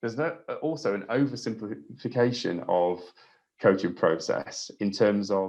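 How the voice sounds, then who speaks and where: A man with an English accent, fairly low in pitch, at a moderate pace with lively intonation and audible room echo. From England. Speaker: trampoline coach. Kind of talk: webinar lecture. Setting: online webinar. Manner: hesitant, many fillers.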